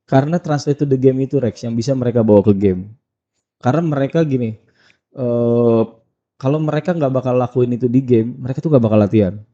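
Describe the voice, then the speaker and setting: Very fast speech from a man with a Padang accent, his tone dark and mellow. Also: medium pitch for a man, ordinary pitch variation. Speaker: basketball skills trainer. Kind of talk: podcast interview. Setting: studio.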